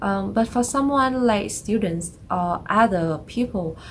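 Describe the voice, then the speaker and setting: A somewhat breathy woman's voice moves along at a very slow pace. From Vietnam. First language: Vietnamese. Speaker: vlogger. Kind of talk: casual explainer vlog. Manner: halting, many fillers.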